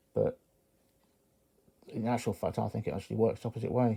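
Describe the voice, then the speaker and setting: Dark and mellow in tone, a man speaks at medium pitch in an English accent with fairly even intonation. The recording is very clean and the background silent. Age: 50s. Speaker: knife collector YouTuber. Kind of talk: casual monologue to camera. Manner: halting.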